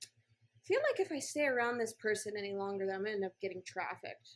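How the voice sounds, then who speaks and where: Speaking at a fairly quick pace, a woman with an unremarkable speaking voice keeps a medium pitch and fairly even intonation. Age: 30s. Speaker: entrepreneur and marketing mentor. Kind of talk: casual podcast interview. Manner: casual, filler-heavy speech.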